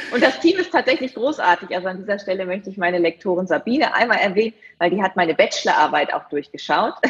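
A very fast pace with very wide pitch swings, over noticeable background noise. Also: woman, medium pitch for a woman. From East Frisia, northern Germany (Leer). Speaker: TV presenter and event host. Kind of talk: casual interview.

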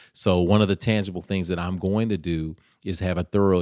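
A man's very deep, low voice with a Tennessee accent at a fairly quick pace, dry and close with no echo, on a very clean recording with a silent background. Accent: Southern US (Tennessee). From US South, Nashville, Tennessee. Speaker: mayoral candidate. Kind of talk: interview.

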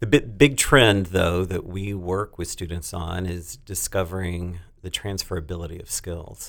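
A man's very deep, low voice with an American accent and fairly even intonation, on a very clean recording with a silent background. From North Texas. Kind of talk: casual interview.

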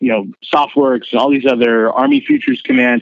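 A man speaks in an ordinary speaking voice with an American accent, his pitch medium and its variation ordinary. He talks at a moderate pace. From US, San Francisco Bay Area. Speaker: podcast host and military veteran. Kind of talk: casual interview.

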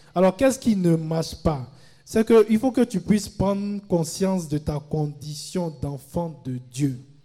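At a fairly slow pace, a man with a high pitch and a dark, mellow tone speaks with lively intonation. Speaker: retreat prayer leader. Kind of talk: fervent group prayer. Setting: live retreat with large crowd. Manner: commanding, rousing call-and-response.

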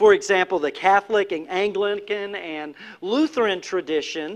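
At a moderate pace, this voice with a Southern US accent moves through very wide pitch swings. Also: man. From North Carolina. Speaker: pastor. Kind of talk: sermon. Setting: church.

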